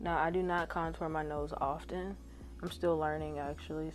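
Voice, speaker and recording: A woman talks at a moderate tempo while music plays behind her. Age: 20s. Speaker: beauty vlogger. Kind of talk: casual talk to camera.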